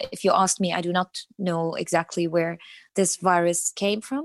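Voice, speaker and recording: Here a woman speaks with an Arabic accent. Her pace is moderate. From Iraq (Baghdad). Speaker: translator. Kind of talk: interview. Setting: remote call.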